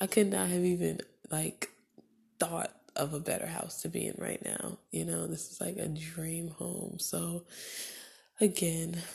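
A soft-spoken woman's breathy voice with a husky, rough edge, vocal fry, a dark, mellow tone, a calm, soothing quality and little pitch movement

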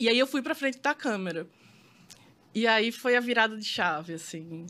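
A woman speaks in a raised, projected voice with a bright, sharp tone and very wide pitch swings. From Brazil, Maceió, Alagoas. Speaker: photographer. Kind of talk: casual interview chat.

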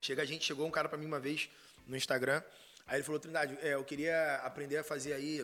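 A man's fairly high, monotone, flat voice at a fairly quick pace, with noticeable background noise. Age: 30s. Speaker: content marketer and former math teacher. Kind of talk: casual chat.

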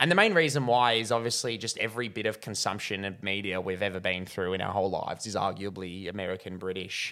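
Talking at a very fast pace, a man uses a bright, sharp tone with ordinary pitch variation. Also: fairly low pitch for a man. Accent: Australian. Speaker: film reviewer. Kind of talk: casual video movie review. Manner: dry humor, hesitant with fillers.

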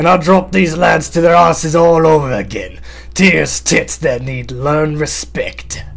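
A man speaks fairly slowly in a put-on character voice, with faint music in the background. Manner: boisterous, belligerent.

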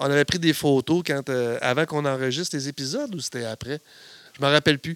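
A man with a Quebec accent speaks at a fairly quick pace in a fairly high pitch, with fairly even intonation and a dry, close sound with no echo. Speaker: podcast co-host. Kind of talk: casual chat.

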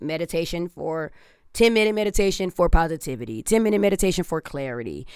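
On a very clean recording with a silent background, a woman with an American accent talks at a fairly quick pace with lively intonation and vocal fry. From Detroit, US Midwest. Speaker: barber. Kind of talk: casual chat.

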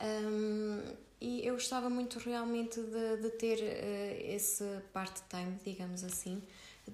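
In a European Portuguese accent, a woman with a fairly high pitch speaks fairly slowly with fairly even intonation, amid noticeable background noise and audible room echo. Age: 20s. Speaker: optometrist and small business founder. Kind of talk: casual interview.

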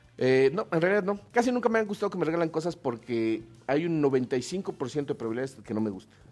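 The speaker moves at a fairly quick pace, with very wide swings in pitch. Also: man, fairly high pitch for a man. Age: 40s. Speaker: podcaster and actor. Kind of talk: casual chat.

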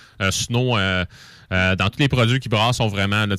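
A man talks at a fairly low pitch with fairly even intonation. The recording is very clean, with a silent background. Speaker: beer columnist. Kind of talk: casual beer review segment. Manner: hesitant, many fillers.

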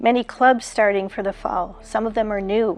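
This woman has a normal speaking voice, fairly high in pitch, with fairly even intonation. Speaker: prayer leader. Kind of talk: fervent prayer, intercessory petitions to God. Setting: online church video broadcast. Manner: earnest; warm.

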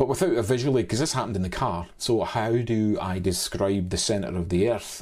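A man speaks in a Scottish accent, his fairly low voice dark and mellow in tone. The recording is very clean, with a silent background. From Scotland. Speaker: cameraman and drone pilot. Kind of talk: interview. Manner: hesitant, many fillers.

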